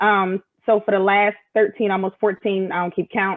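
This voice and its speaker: With an American accent, the speaker moves at a fairly quick pace. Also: woman. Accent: Philadelphia accent, comes out when angry. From Philadelphia, Pennsylvania. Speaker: military senior enlisted leader. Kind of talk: casual interview chat. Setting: live video stream.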